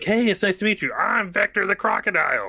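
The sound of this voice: Doing a put-on character voice, a man sounds gravelly and high-pitched, keeping a monotone delivery with very even loudness at a fairly quick pace in a dry, close recording with no echo.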